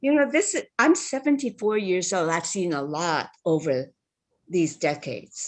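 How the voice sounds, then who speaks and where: A woman with a Hawaiian accent at a medium pitch and a moderate pace, her pitch swinging very widely, over a quiet background. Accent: Hawaii local English. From Hawaii, Big Island (Holualoa, West Hawaii). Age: 70s. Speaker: public testifier. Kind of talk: public testimony. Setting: video call.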